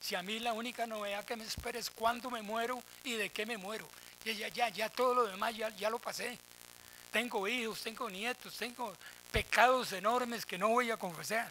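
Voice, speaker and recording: A man with a Costa Rican accent speaks at a moderate pace in a high-pitched, raised and projected voice. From Costa Rica, Desamparados. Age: 70s. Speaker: professor emeritus, panelist. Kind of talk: round-table talk. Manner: animated, colloquial.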